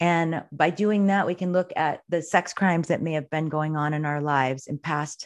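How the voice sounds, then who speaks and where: A woman's a normal speaking voice, fairly low-pitched, at a moderate pace against a quiet background. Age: 50s. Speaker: yoga teacher and astrology reader. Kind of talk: interview.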